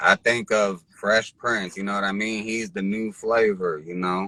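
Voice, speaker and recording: A man with an American accent has a bright, sharp tone and a fairly low pitch. He talks at a fairly slow pace with fairly even intonation. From Philadelphia, US. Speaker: rapper. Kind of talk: casual interview.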